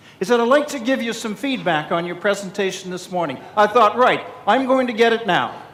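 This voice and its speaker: Talking at a fairly quick pace with hardly any pauses, a man uses a high voice with ordinary pitch variation amid noticeable background noise and audible room echo. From Canada. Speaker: keynote speaker, public speaking club president. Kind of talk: keynote speech. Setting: stage with audience at conference. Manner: animated.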